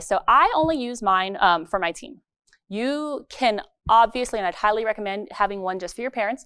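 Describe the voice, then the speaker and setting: Animated in tone, a woman with a fairly high pitch speaks with lively intonation on a very clean recording with a silent background. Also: dry, close sound with no echo. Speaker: dance teacher presenting at a conference. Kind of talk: presentation to an audience. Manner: fast.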